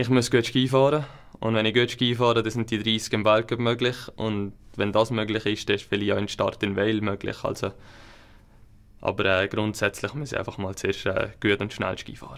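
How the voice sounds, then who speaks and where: Speaking at a moderate pace with fairly even intonation, a man uses a plain, everyday voice pitched fairly low. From Switzerland, Upper Valais; Switzerland. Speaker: alpine ski racer; guest. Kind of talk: interview. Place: studio.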